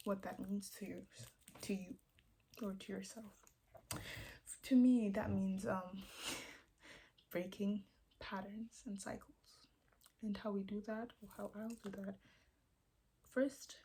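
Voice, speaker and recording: Quiet, fairly slow speech broken by long, frequent pauses. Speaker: vlogger. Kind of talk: casual vlog monologue. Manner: hesitant, searching for words.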